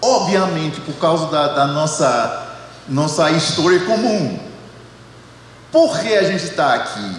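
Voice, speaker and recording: With an American accent, a man at a fairly high pitch talks at a very slow pace with lively intonation and long, frequent pauses, amid noticeable background noise and audible room echo. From United States. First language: English (speaking Portuguese). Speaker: theology professor. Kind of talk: panel discussion. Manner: halting, many repetitions.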